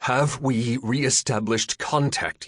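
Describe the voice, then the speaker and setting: In a put-on character voice, a man rumbles at a fairly slow pace with a medium pitch and fairly even intonation, the sound dry and close with no echo. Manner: demanding, impatient.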